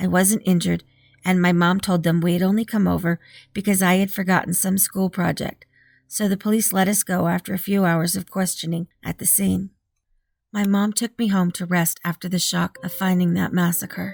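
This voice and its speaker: A somewhat breathy woman talks at a moderate pace with flat, monotone intonation. The sound is dry and close, with no echo. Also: medium pitch for a woman, very clean recording, silent background. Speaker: horror story narrator. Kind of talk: horror story reading.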